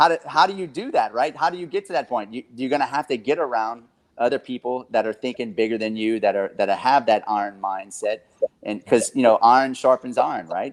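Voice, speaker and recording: Speaking at a fairly quick pace, a man with a medium pitch and lively intonation is heard in a dry, close sound with no echo. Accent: Southern Louisiana. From South Louisiana. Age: 30s. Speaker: real estate investor and coach. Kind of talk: podcast interview. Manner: animated, emphatic; halting, repeats words.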